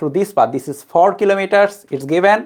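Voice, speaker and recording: Speaking in a non-native accent, a woman has a medium-pitched voice. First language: not English. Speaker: physics tutor. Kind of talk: lecture.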